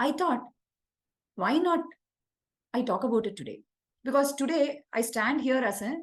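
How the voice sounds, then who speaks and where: Here a woman speaks in an Indian accent with a high pitch. Her intonation is lively and her pace fairly slow. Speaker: executive leadership coach. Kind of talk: webinar talk.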